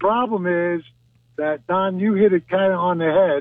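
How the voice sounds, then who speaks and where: The speaker talks at a moderate pace. Pitch rises and falls in an ordinary way. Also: man. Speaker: caller. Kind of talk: opinionated call-in commentary. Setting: phone call. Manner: forceful.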